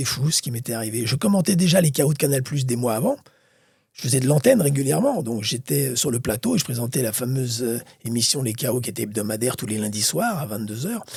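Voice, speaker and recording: Very fast and somewhat breathy, a man speaks at medium pitch in a dark, mellow tone with lively intonation. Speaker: boxing commentator. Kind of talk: interview. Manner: animated.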